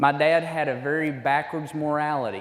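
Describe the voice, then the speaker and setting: Noticeable background noise and audible room echo accompany a man speaking with monotone, flat intonation. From Alabama, US South. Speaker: men's ministry speaker. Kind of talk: sermon-style talk to men's group. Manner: halting.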